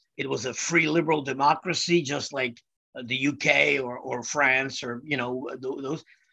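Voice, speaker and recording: A man talks at a fairly slow pace in a Czech accent. His tone is bright and sharp. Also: medium pitch for a man. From Czechoslovakia (Prague). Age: 60s. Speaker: musician. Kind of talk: casual interview. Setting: studio. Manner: loud and animated.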